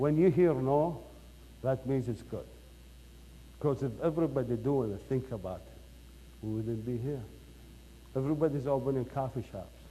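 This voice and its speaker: A man talks with big swings in loudness and long, frequent pauses. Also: medium pitch for a man, ordinary pitch variation, moderate pace. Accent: Iraqi. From Iraq. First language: Arabic. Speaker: company founder and CEO. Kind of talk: motivational speech. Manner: animated.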